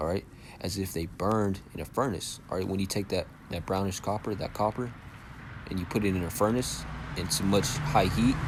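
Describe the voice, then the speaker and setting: A man speaks at a fairly quick pace. His pitch is fairly low, with ordinary variation. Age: young. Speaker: religious teacher. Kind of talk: bible lesson. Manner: casual, filler-heavy.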